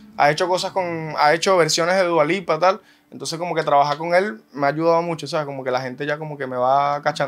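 Delivered at a very fast pace, a man's speech holds fairly even intonation. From Venezuela, Caracas area. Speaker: singer; interviewee. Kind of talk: interview. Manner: casual, halting with repetitions. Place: studio. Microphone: studio mic.

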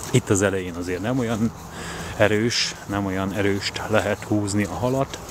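Noticeable background noise surrounds a dry sound with no echo. A man speaks at a fairly slow pace with fairly even intonation. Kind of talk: casual vlog chat. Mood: cheerful, relaxed. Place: waterside. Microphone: phone near.

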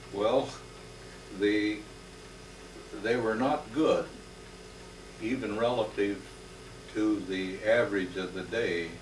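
A man with an American accent speaks at a very slow pace and a fairly low pitch, with long, frequent pauses. Light background noise and audible room echo come through. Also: ordinary pitch variation. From Northern California. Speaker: retired hospital worker; interviewee. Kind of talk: elder life story, reflective oral history recollection. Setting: home interview. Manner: unhurried, reminiscing, with frequent filler pauses; warm, sincere, affectionate. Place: home room. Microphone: old recording.

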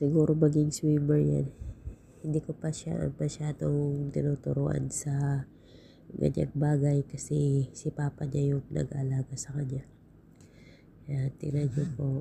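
Somewhat breathy and dark, mellow in tone, a woman speaks at a fairly slow pace in a very deep, low voice with monotone, flat intonation. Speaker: vlogger. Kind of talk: casual vlog narration. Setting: outdoors at the beach. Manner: laughing often.

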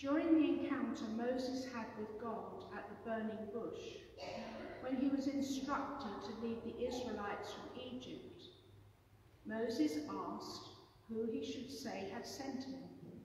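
Strong room echo and light background noise surround a woman's high voice, which moves at a fairly slow pace with ordinary pitch variation. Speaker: preacher. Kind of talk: sermon. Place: church. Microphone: camera far.

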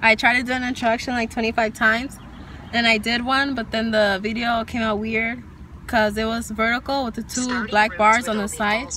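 Her intonation is monotone and flat, and this woman is recorded with a dry sound with no echo amid noticeable background noise. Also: moderate pace. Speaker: vlogger. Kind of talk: casual vlog chat. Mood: slightly awkward, laughing. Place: car. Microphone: phone near.

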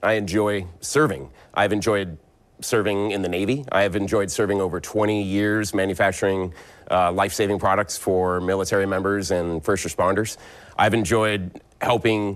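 Using a plain, everyday voice, a man talks at a moderate pace with a fairly low pitch and fairly even intonation. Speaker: council guest. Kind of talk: interview answer. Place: studio. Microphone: lapel.

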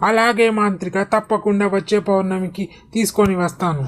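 A female-sounding cartoonish character voice speaks at a middle pitch and a moderate pace. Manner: servile, obedient.

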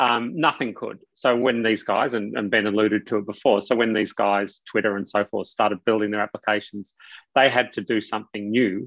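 A man's fairly low pitch at a fairly quick pace, fairly even intonation, dry sound with no echo, quiet background. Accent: Australian. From Australia. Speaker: technology executive and author; guest. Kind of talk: interview. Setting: video call. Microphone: video call.

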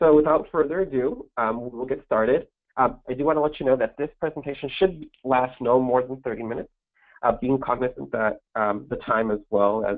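Speech moves at a fairly quick pace with ordinary pitch variation. The background is quiet. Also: man. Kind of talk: webinar presentation. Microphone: video call.

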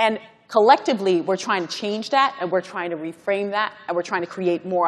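With an American accent, a woman talks at a fairly quick pace, with big swings in loudness. Her pitch is medium, with ordinary variation. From Guyana, then Brooklyn, New York; New York. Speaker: corporate executive, panel speaker; speaker. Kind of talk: conference panel remarks. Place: hall. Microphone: lapel.

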